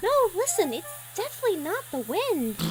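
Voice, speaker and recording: A put-on character voice at an extremely high pitch swings very widely in pitch at a fairly quick pace. Clear background noise is audible. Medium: machinima. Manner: polite, eager.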